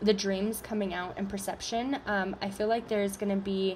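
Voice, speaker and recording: The woman's voice is somewhat breathy, at a medium pitch. Her intonation stays monotone and flat. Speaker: tarot reader. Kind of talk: collective tarot reading to camera. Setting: video recording on camera. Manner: halting, many fillers.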